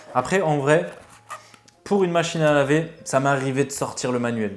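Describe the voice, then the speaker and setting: A man speaks at a fairly quick pace with ordinary pitch variation, noticeable background noise behind him. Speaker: vape reviewer, YouTuber. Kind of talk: casual product review, unboxing. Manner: hesitant, many fillers (euh).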